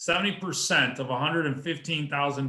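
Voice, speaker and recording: A man speaks with a normal speaking voice at a fairly high pitch. His pitch variation is ordinary. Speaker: real estate investor. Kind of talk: presentation at an online meeting.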